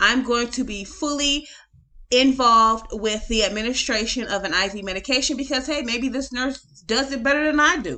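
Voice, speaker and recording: A woman speaks fairly quickly in a high pitch, her tone bright and sharp, with ordinary pitch variation. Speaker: nurse educator. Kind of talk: case study commentary. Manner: fast.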